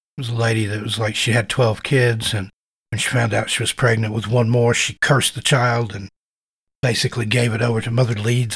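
In a slight Southern US accent, a man talks at a fairly quick pace with a medium pitch, a somewhat breathy voice and monotone, flat intonation. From US South. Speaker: podcast host. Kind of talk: casual interview.

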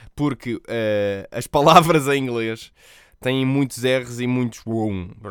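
Here is a man with a European Portuguese accent and medium pitch, with ordinary pitch variation. The recording is very clean, with a silent background. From Portugal. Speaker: podcast host and streamer. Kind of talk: solo podcast monologue. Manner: casual.

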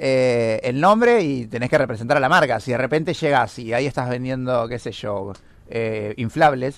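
A man with an Argentine accent talks at a moderate pace. His voice is medium in pitch with ordinary variation. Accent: Rioplatense Argentine Spanish. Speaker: podcast co-host. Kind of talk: casual chat.

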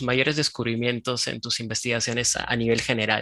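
Bright and sharp in tone, a man speaks at a moderate pace. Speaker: podcast host. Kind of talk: interview; scripted narration. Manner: hesitant in conversation, repeats words.

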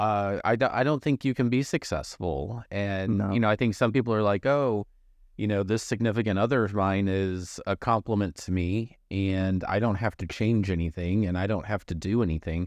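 A plain, everyday voice with an American accent speaks at a moderate pace. The sound is dry and close with no echo, over a quiet background. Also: man, fairly low pitch for a man, ordinary pitch variation. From Missouri. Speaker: podcast host. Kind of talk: casual interview chat.

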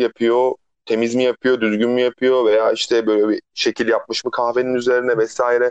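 In a dry, close sound with no echo, a man with an ordinary speaking voice talks at medium pitch and a fairly quick pace. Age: 30s. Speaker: podcast co-host, barista. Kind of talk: casual chat. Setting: phone call. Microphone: phone line, rough sound.

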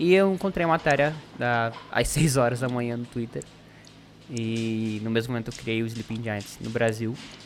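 Ordinary pitch variation and a moderate pace from an unremarkable speaking voice. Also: man, medium pitch for a man. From Paraná, Brazil. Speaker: activist campaign organizer. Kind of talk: casual interview chat.

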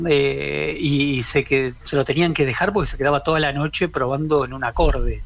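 A man speaks at a moderate pace, barely pausing at all. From Quilmes, Buenos Aires, Argentina. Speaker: rock journalist. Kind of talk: interview.

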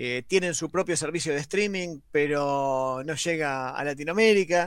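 On a very clean recording with a silent background, a man with a normal speaking voice talks at a fairly slow pace, his pitch fairly high and his pitch variation ordinary. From Argentina, La Plata area. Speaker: radio show co-host. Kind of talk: radio show chat, series review segment.

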